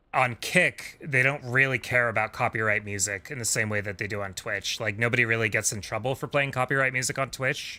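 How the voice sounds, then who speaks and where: Bright and sharp in tone, a man talks at a fairly quick pace with a medium pitch. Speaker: video game streamer. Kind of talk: casual live stream chat. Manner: soft-spoken at times.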